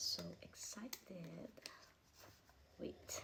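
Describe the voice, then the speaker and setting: The woman speaks at a very slow pace. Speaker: vlogger. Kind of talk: unboxing vlog. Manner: whispering; soft-spoken.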